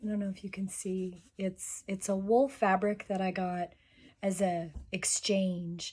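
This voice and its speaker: A somewhat breathy woman's voice at a very slow pace. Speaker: sewing and historical costume vlogger. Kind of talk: tutorial.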